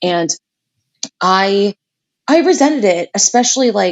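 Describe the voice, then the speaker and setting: A woman speaks at medium pitch with lively intonation. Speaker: podcast co-host. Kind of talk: casual chat. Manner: fast; loud.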